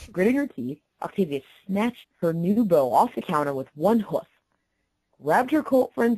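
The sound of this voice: A woman's dark, mellow voice with a slightly husky edge, lively intonation and a moderate pace, in a dry, close sound with no echo.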